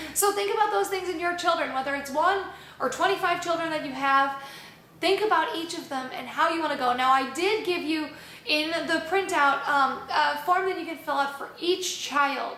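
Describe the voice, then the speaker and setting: A woman with an extremely high pitch projects a raised voice at a moderate pace, her pitch varying in an ordinary way amid audible room echo. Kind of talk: instructional talk. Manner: loud; casual, conversational.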